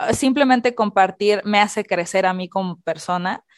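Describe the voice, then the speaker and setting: The recording is very clean, its background silent. A woman talks, and the sound is close and dry without any echo. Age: 30s. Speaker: podcast co-host. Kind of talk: casual chat.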